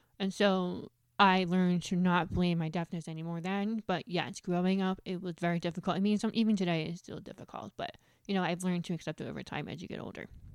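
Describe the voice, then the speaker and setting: Talking at a very fast pace, a woman with an American accent has a fairly low pitch. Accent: New Jersey American, deaf speech. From New Jersey, US. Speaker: guest, HR professional, deaf. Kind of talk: casual interview. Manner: fast talker.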